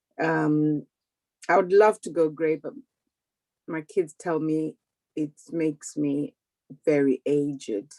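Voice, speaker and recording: A woman's very deep, low voice with a dark, mellow tone and ordinary pitch variation, at a very slow pace with long, frequent pauses, in a dry, close sound with no echo. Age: 60s. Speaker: audience member asking a question. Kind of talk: casual Q&A on video call. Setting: video call.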